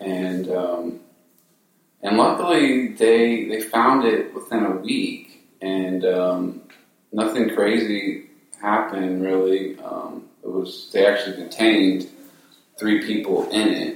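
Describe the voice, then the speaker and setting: A quiet man speaking in a calm tone at a very slow pace. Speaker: band co-founder. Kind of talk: casual interview chat. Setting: in person in studio. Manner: quiet, takes his time, calm.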